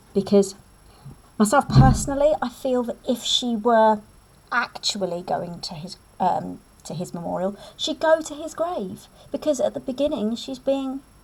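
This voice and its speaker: The speaker has an English accent and lively intonation. Loudness swings widely. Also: woman. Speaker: English teacher. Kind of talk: lecture. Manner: fast.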